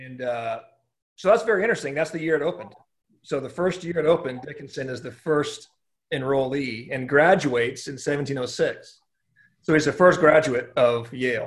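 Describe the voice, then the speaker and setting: A man with a Californian accent speaks at a moderate pace, his fairly high, somewhat breathy voice showing ordinary pitch variation. His loudness swings widely, and audible room echo surrounds him. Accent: General American (Californian). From Southern California. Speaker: pastor. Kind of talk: casual interview about church history. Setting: video call.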